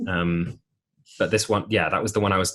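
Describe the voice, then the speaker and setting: In an English accent, a man speaks somewhat breathily at a fairly quick pace against a quiet background. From England. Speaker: musical theatre actor. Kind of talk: podcast interview. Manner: halting.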